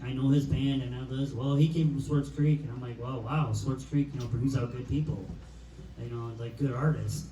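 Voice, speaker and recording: Someone with a Michigan accent talks at a moderate pace amid audible room echo and noticeable background noise. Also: man. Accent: Midwestern American (Michigan). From Michigan, the Pier. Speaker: podcast host. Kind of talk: casual chat.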